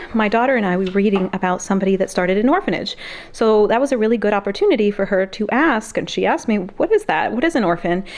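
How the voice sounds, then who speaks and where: With an American accent, the speaker talks at a very fast pace with ordinary pitch variation and very even loudness. Noticeable background noise runs underneath. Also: woman, medium pitch for a woman. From Mexican heritage, US. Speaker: homeschooling mom, video creator. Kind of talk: casual tutorial. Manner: animated.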